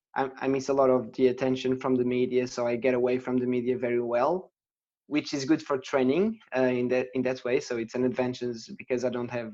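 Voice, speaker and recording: Speaking at a fairly quick pace with fairly even intonation, a man with a Portuguese accent has a dark, mellow tone. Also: medium pitch for a man. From Portugal. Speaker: professional triathlete. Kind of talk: podcast interview. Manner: halting, many repetitions.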